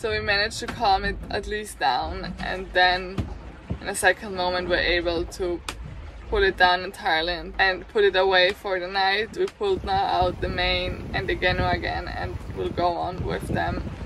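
Noticeable background noise sits under a woman's voice, which has a dry sound with no echo. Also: moderate pace. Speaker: sailing vlogger. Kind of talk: casual vlog chat. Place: boat. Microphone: phone near.

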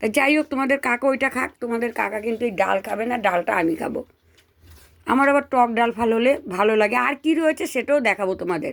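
The woman's pitch is high, with ordinary rises and falls. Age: old. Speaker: home cooking vlogger. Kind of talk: casual vlog talk to viewers while eating.

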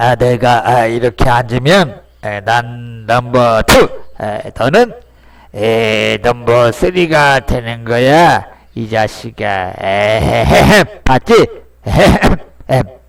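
In a put-on character voice of medium pitch, a man speaks very slowly, leaving long, frequent pauses. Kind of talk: comedic voice-over dub. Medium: dub.

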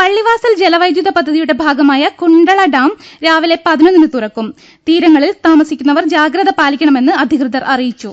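Against a quiet background, a woman speaks at an extremely high pitch with lively intonation. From Kerala. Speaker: radio newsreader. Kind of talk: news reading. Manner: formal. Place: studio.

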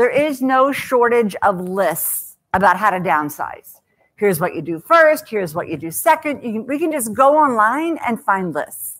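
Over a quiet background, a loud woman with a fairly high pitch speaks at a moderate pace with very wide pitch swings. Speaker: author and speaker on downsizing. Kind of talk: talk to a live audience. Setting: stage with audience. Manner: humorous storyteller. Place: hall.

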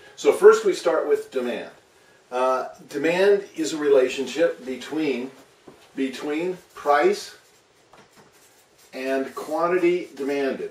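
With audible room echo, a man speaks very slowly, leaving long, frequent pauses. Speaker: economics teacher. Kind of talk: lecture. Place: home room. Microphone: camera far.

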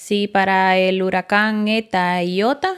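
A woman's intonation stays fairly even while the background remains quiet. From Honduras, El Progreso (Yoro); Honduras. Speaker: flight attendant trainee, former factory worker; former factory worker. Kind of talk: casual interview. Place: studio. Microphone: studio mic.

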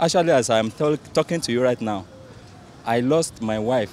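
At a moderate pace, a man with a medium pitch and a slightly mellow tone speaks with ordinary pitch variation over faint background noise.

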